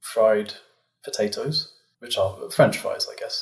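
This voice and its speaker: The man talks with a British accent, keeping to a moderate pace. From England. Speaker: physicist. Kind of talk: interview.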